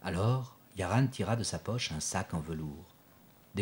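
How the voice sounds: Lively intonation in a natural reading voice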